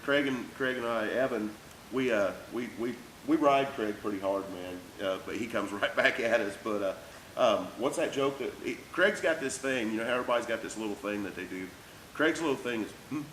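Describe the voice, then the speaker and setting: The speech moves at a fairly quick pace with lively intonation. Background noise is noticeable. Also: man, medium pitch for a man. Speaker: race team crew member interviewer. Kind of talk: casual interview. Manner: fast.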